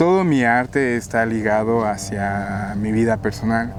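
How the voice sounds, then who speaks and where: A very slow speaker with a Guatemalan accent, over noticeable background noise. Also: man. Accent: non-Mexican, Guatemalan. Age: 30s. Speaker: painter. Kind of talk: interview.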